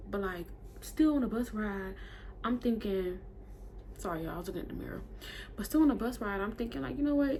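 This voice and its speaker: At a very fast pace, a woman of medium pitch speaks with lively intonation, broken by long, frequent pauses. Audible room echo surrounds her voice. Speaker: beauty vlogger. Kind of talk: casual storytime while doing makeup. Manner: animated.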